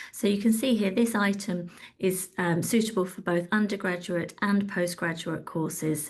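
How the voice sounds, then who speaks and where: A woman speaks with a somewhat breathy voice at a medium pitch. Her intonation stays fairly even. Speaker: webinar host, communications director. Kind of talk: product demo in a webinar. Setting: online webinar. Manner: fast.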